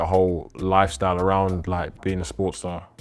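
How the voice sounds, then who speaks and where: A man whose voice is very deep and low speaks at a moderate pace. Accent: London. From London. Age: 20s. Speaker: clothing brand founder. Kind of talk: casual interview chat.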